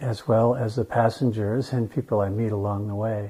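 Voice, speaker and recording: This man's voice has a dark, mellow tone and is somewhat breathy. He talks fairly slowly. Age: 60s. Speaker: legally blind resident. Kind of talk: interview testimony.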